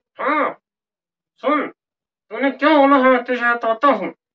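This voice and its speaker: A man's put-on character voice, extremely high in pitch, at a fairly slow pace. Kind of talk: comedy sketch.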